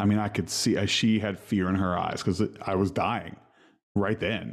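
A normal speaking voice at a moderate pace, against a quiet background. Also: man. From West Virginia. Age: 30s. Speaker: musician. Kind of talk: casual chat.

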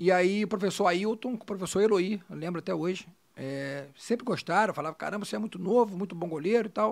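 Speaking at a fairly quick pace, a man has a high pitch with ordinary pitch variation. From Rio de Janeiro, Brazil (born Minas Gerais). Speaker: former football goalkeeper, physiotherapist. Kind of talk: casual chat.

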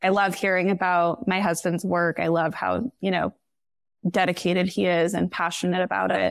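Talking at a moderate pace in a fairly low, monotone, flat voice with vocal fry and very even loudness, a woman is heard on a very clean recording with a silent background. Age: 30s. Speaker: podcast guest, wife of a surgical resident. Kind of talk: casual chat.

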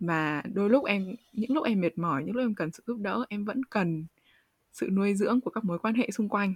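At a medium pitch and moderate pace, a somewhat breathy woman speaks with ordinary pitch variation in a dry, close sound with no echo. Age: 20s. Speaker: podcast host, university student. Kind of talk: interview conversation.

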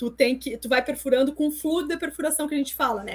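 A woman speaks in a high pitch. Her pitch moves with ordinary variation. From Brazil, interior of Rio Grande do Sul. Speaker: chemical engineer and former engineering lecturer. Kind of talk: interview.

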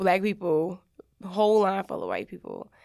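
A woman with an American accent, an ordinary speaking voice at medium pitch with fairly even intonation, on a very clean recording with a silent background. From Middletown area, New York. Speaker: podcast guest, former cross country runner. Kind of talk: casual chat.

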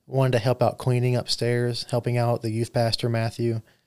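A voice with a Southern US accent on a very clean recording with a silent background. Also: man. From US South (Mobile, Alabama). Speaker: podcast co-host, construction worker. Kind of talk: casual chat.

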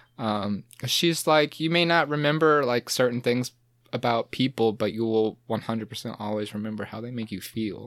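A plain, everyday voice, a man's with an American accent, medium-pitched, at a moderate pace with ordinary pitch variation. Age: 20s. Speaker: podcast guest. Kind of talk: casual chat. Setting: podcast recording.

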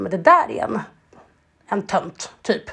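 A woman speaks at medium pitch and a fairly slow pace. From Sweden. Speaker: podcast co-host. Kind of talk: casual chat.

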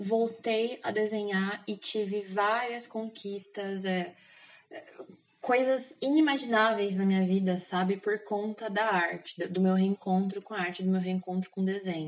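A woman with an ordinary speaking voice talks at medium pitch and a fairly slow pace. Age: 20s. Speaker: architect, K-pop fan sharing personal story. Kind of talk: casual interview.

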